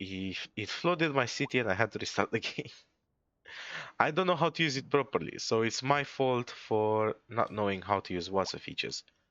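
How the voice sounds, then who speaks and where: Speaking with a non-native accent, a man talks at a moderate pace with lively intonation. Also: medium pitch for a man. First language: not English. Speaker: gaming streamer. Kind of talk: gameplay commentary. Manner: stutters, stumbles over words; casual.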